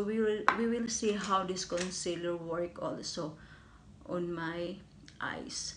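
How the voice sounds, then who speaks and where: A woman's very slow speech comes through noticeable background noise. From Philippines. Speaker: beauty vlogger and overseas caregiver; beauty vlogger. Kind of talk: makeup review tutorial. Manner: halting. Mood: warm, enthusiastic. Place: home room. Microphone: phone near.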